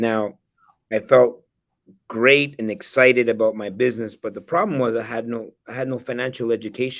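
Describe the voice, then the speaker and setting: Moderate pace, medium pitch and fairly even intonation from a man with an ordinary speaking voice. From El Salvador, then Canada from age nine. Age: 40s. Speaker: real estate investor and educator. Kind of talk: interview.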